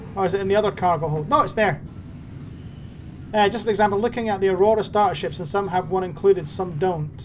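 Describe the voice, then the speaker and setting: Very fast speech comes through over noticeable background noise. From Scotland. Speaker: gaming streamer. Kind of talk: live gameplay stream commentary. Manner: casual, chatty.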